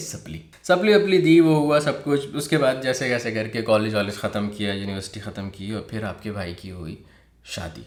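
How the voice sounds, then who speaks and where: A man is speaking. His pitch swings very widely. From Pakistan. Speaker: vlogger. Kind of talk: personal story told to camera. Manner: casual.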